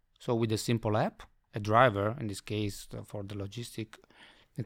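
A man with an Italian accent speaks at a moderate pace on a very clean recording with a silent background. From Italy. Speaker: software company director. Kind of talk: interview. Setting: accelerator office.

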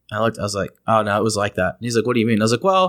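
A man with a Texan accent talks with lively intonation. The recording is very clean, with a silent background. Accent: Texan American. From East Texas. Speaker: podcast host. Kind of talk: casual chat. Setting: studio.

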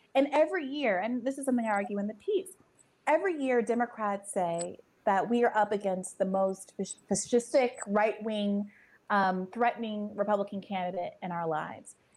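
At a moderate pace, a woman speaks with an unremarkable speaking voice, fairly high-pitched with ordinary pitch variation. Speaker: journalist. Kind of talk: political discussion.

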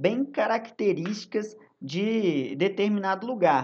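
A man speaks with a dark, mellow tone. His pace is very slow. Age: 20s. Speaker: history teacher. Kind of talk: recorded lesson for students. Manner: casual, many filler hesitations.

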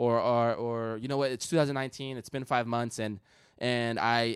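This man has an ordinary speaking voice and fairly even intonation. He speaks at a fairly quick pace on a very clean recording with a silent background. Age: 20s. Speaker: sneaker customizer. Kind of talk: casual chat.

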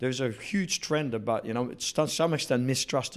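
A New Zealand accent at a fairly quick pace, in a very clean recording with a silent background. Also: man. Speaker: company chief executive. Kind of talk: interview.

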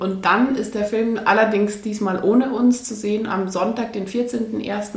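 Fairly slow speech comes from a woman with a fairly high voice. Room echo is audible, along with noticeable background noise. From Bavaria, Munich area. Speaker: journalist and documentary filmmaker. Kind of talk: interview.

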